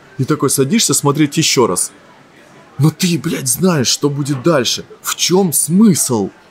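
Over light background noise, a somewhat breathy man talks at a very slow pace with lively intonation. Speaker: actor and blogger; actor, blogger. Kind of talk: casual interview. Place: cafe. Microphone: studio mic.

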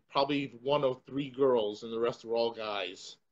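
This voice belongs to a man. He speaks with an American accent. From Connecticut, US. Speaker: martial arts instructor and show host; martial arts instructor, show host. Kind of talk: casual panel chat. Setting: studio with one co-host, others on video chat. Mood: relaxed storytelling. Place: home room. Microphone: video call.

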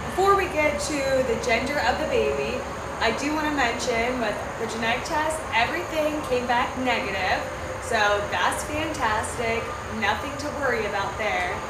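The pace is moderate, with loud background noise behind the speech. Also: woman. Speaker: vlogger. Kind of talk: casual vlog chat. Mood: cheerful, excited. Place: open country. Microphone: camera far.

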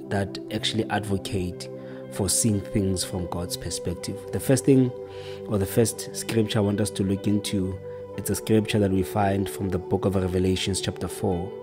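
Clear music sounds in the background. Over it, a man speaks at a moderate pace in a fairly low pitch. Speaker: preacher. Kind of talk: sermon. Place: home room. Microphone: studio mic.

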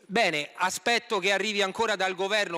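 Against a quiet background, a man with a high pitch and a bright, sharp tone speaks at a moderate pace in a raised, projected voice. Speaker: opposition member of parliament. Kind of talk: parliamentary reply, formal oratory. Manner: critical, indignant, formal. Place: hall. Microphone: podium.

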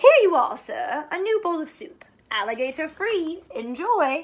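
Putting on a character voice, a woman speaks at a high pitch with big pitch swings and a fairly slow pace.

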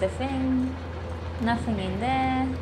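A woman talks very slowly while loud noise fills the background. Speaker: gamer. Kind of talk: casual let's play commentary. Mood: cheerful, playful. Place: home room.

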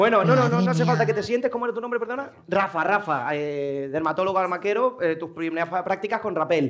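Talking at a very fast pace with hardly any pauses, a man uses a high pitch, an animated tone and lively intonation. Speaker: show director; talk show host. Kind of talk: audience segment hosting; comedy show hosting. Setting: stage with audience. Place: stage. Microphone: lapel.

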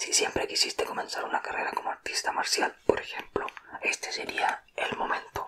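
A man whispers at a moderate pace. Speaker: ASMR creator. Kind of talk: ASMR personality test talk to viewer. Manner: whispered. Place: home room. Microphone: studio mic.

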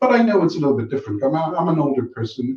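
A man speaks in a fairly high voice with a dark, mellow tone, somewhat breathy, and his pitch swings very widely. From Caribbean. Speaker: banker and youth mentor. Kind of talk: talk show interview.

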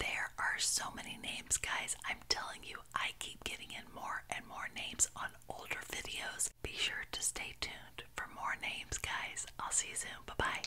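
Whispering at a moderate pace with hardly any pauses, a woman keeps a gentle tone. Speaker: ASMR creator. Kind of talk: casual talk to camera. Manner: whispered, soft, gentle. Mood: warm, cheerful. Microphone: studio mic.

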